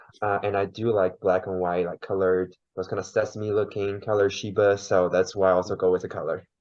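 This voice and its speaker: In a monotone, flat delivery, a man with a fairly low pitch talks at a fairly quick pace with hardly any pauses. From China. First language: Mandarin. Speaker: podcast guest. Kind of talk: interview.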